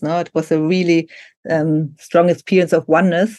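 A woman with a German accent, fairly low-pitched, at a fairly quick pace with fairly even intonation, in a dry, close sound with no echo. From Germany. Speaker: Reiki teacher and author. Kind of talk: interview conversation.

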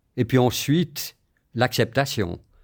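A man's medium-pitched voice at a fairly slow pace, with ordinary pitch variation, on a very clean recording with a silent background. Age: 60s. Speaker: long-term HIV patient. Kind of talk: interview testimony.

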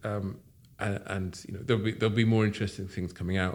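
A man speaks with an English accent. His intonation is fairly even. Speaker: watch company founder. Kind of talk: interview. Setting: in person at workshop. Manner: halting.

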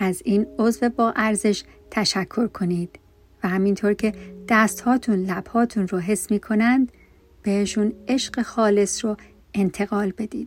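The voice is somewhat breathy with a calm, gentle tone and fairly even intonation. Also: woman, medium pitch for a woman. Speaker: meditation guide. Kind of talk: guided meditation. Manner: slow, soft, soothing; calm, gentle, with pauses between instructions.

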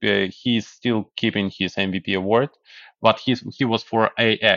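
Fairly even intonation marks a man speaking at a medium pitch. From Ukraine, Kyiv. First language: Russian or Ukrainian. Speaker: software developer. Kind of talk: podcast interview. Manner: halting.

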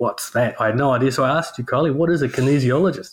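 A man's somewhat breathy voice, medium in pitch with ordinary pitch variation, comes through on a very clean recording with a silent background. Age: 40s. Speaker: podcast co-host. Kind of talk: casual chat.

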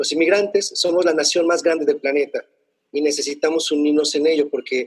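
A man talks very fast with fairly even intonation, and the sound is dry and close with no echo. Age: 40s. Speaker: poet and cultural manager. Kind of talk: interview. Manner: halting.

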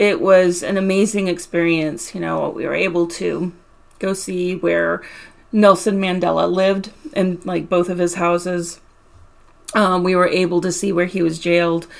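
Speaking in a normal speaking voice, a woman keeps a fairly low pitch, fairly even intonation and a moderate pace. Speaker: podcast host, mindfulness practitioner. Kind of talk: casual chat.

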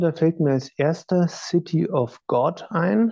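A man speaks with a dark, mellow tone. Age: 30s. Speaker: orchestral trombonist. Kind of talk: interview.

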